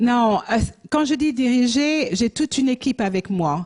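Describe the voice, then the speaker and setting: At a very slow pace, a woman speaks in a high voice with lively intonation. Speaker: missionary and pastor. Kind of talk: church mission presentation. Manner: halting, many hesitations.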